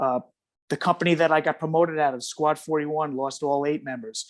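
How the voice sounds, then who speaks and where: A man with a New York accent speaks at a moderate pace in a fairly high pitch. The background is quiet. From New York City. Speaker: retired firefighter. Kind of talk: interview. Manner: halting.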